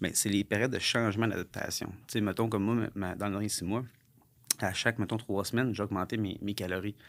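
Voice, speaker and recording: A man talks fairly quickly in a fairly low pitch, his intonation flat and monotone. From Quebec, Sherbrooke; Quebec. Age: 30s. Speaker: entrepreneur, former pro fighter; podcast guest. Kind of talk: podcast interview. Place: studio. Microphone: studio mic.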